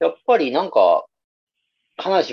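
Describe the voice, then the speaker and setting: A man speaks with a Kansai accent. The sound is dry and close, with no echo. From Nara, Japan (Kansai). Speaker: music podcast co-host. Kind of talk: casual chat.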